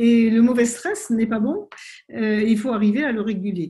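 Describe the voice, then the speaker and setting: A woman with a fairly high pitch and a dark, mellow tone speaks at a fairly slow pace. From French Polynesia (Tahiti). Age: 70s. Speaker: naturopath and author. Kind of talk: interview. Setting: video call.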